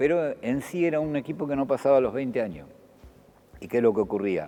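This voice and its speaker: With an Argentine accent, the speaker uses lively intonation while music plays in the background. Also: man. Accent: Argentine Spanish (rioplatense voseo). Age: 60s. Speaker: former basketball player and sports official. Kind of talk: TV interview. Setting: empty basketball court.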